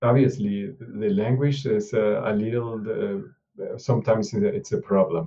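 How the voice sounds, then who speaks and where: A man talks in a somewhat breathy voice. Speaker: open source contributor. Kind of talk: mentoring video call. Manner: halting, many hesitations.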